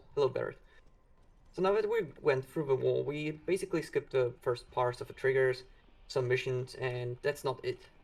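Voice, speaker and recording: A quiet man talks at a fairly quick pace. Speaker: speedrunner. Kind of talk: live gameplay commentary.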